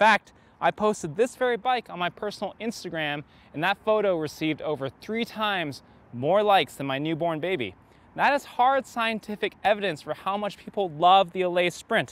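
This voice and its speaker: A man at a moderate pace, dry sound with no echo. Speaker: bike shop video host. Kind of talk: product review presentation. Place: open country.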